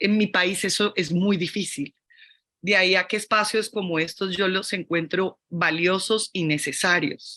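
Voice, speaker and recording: A woman with a Colombian accent speaks at a fairly slow pace in a bright, sharp tone, her loudness very even. Her intonation is fairly even, and the background is quiet. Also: medium pitch for a woman. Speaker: fashion academic / critic. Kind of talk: panel discussion. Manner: halting.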